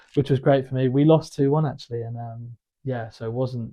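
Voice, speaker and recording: Somewhat breathy and monotone, a man with a southern English accent talks at a fairly quick pace with flat intonation. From southern England. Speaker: former footballer turned wealth manager. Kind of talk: interview. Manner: hesitant, many fillers.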